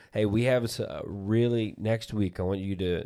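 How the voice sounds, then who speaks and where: On a very clean recording with a silent background, a man with an American accent speaks at a moderate pace with fairly even intonation. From Ohio. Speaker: podcast host. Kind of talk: casual interview.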